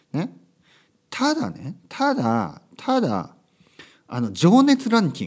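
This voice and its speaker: A very slow delivery with long, frequent pauses and big swings in loudness. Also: man. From Japan, Kyushu. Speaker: English and Japanese teacher, podcast host. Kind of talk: casual monologue podcast. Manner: loud, passionate; many fillers and self-corrections.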